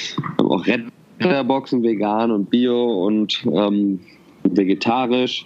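A man talks at a medium pitch, and noticeable background noise can be heard behind him. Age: 30s. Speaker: social entrepreneur. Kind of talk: interview.

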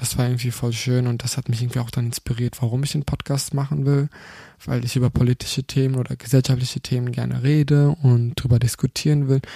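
At a moderate pace with long, frequent pauses, a speaker with a non-native accent uses a somewhat breathy voice, a dark, mellow tone and monotone, flat intonation, in a dry, close sound with no echo. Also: man. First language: not German (speaking German). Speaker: podcast host. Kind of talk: casual monologue. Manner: halting.

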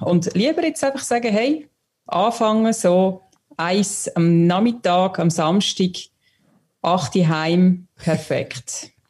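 Speaking at a very slow pace, a woman uses a medium pitch and lively intonation. Her loudness stays very even, broken by long, frequent pauses. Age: young. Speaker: listener contributor. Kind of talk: casual chat.

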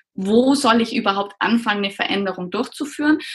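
A woman speaks in an unremarkable speaking voice at a moderate pace. Her pitch is fairly high. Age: 30s. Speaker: pediatrician and coach for doctors. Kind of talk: interview.

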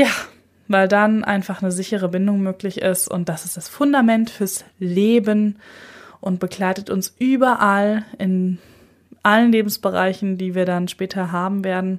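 A woman speaks at a fairly slow pace with fairly even intonation. Hers is a plain, everyday voice. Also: medium pitch for a woman. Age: 30s. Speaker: podcast host and psychotherapist. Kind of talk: solo podcast introduction.

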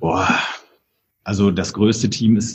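Speaking at a moderate pace, a man with a fairly low pitch uses a monotone, flat intonation and has a dark, mellow tone. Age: 40s. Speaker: hotelier and entrepreneur. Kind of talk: interview conversation. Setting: in a brewery.

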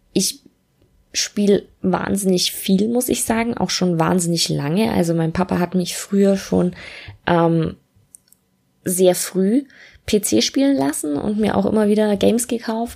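Her pace is very slow, and the woman's tone is dark and mellow. The recording is very clean, with a silent background. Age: 20s. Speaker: podcast host, student and freelance copywriter. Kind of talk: solo casual podcast monologue. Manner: casual with many filler sounds.

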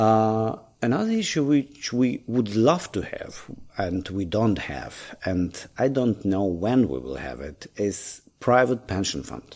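A man with a Ukrainian accent speaks at a fairly slow pace from a medium pitch, with very wide pitch swings and big swings in loudness, on a very clean recording with a silent background. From Ukraine. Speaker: lawyer, bar association leader. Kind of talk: interview.

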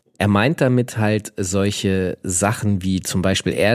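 This man speaks very slowly. His pitch is fairly low. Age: 40s. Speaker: podcast co-host. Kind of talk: casual chat.

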